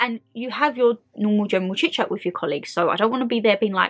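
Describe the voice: A woman speaks at a fast pace and medium pitch, with ordinary pitch variation, a fairly bright tone, and a dry, close sound with no echo.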